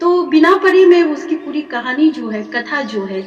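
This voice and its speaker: With music in the background, a woman talks in an Arunachal Pradesh accent and lively intonation. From Arunachal Pradesh, India. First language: Nyishi (speaking Hindi). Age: young. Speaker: poet and professor. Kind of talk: interview. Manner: halting, many fillers.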